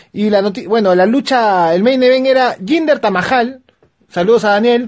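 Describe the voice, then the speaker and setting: At a moderate pace, a man speaks with an animated tone at an extremely high pitch, with ordinary pitch variation. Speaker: wrestling podcast host. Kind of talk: casual chat.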